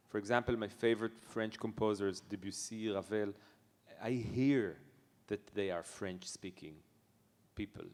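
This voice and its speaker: A man talks at a moderate pace with an Israeli accent. His pitch is fairly low and his intonation fairly even. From Israel, Netanya. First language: Hebrew. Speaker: jazz pianist. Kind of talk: interview. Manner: halting.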